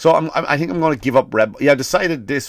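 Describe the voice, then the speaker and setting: A man with a non-native accent talks at a fairly quick pace in an animated tone, in a very clean recording with a silent background. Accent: non-American accent, listeners may judge it. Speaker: comedian. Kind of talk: comedic podcast monologue.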